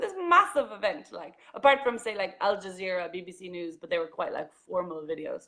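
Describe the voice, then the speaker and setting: A woman with an Irish accent talks in an animated tone at a fairly quick pace, her loudness swinging widely. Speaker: journalist and vlogger. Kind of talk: casual interview chat.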